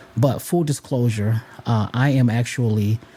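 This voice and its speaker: Noticeable noise sits behind the voice. The man's pitch varies in an ordinary way. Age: 40s. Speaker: podcast host. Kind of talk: motivational talk.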